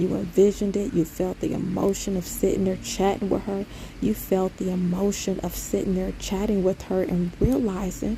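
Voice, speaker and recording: A woman talks at a moderate pace with fairly even intonation. Noticeable background noise runs under her voice. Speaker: spiritual vlogger. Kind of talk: casual monologue. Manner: low-toned.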